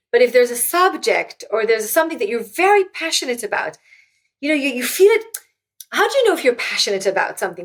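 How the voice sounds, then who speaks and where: A woman with an Israeli accent talks at a very fast pace with very wide pitch swings. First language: Hebrew. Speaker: author and former tech executive. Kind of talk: interview conversation. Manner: halting, with frequent repetitions.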